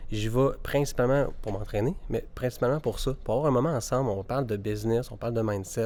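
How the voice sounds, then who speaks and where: A man with a Quebec accent talks at a fairly quick pace, with hardly any pauses. His medium pitch and dark, mellow tone show ordinary variation in a very clean recording with a silent background. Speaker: podcast host and mortgage broker. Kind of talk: casual interview. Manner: hesitant, many fillers.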